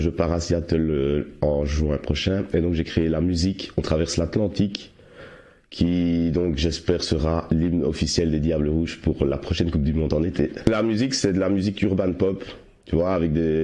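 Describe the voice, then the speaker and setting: His voice is very deep and low-pitched with a dark, mellow tone, and this man keeps a moderate pace at a very even loudness. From Belgium, Liège province. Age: 30s. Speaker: amateur musician and football supporter. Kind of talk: interview.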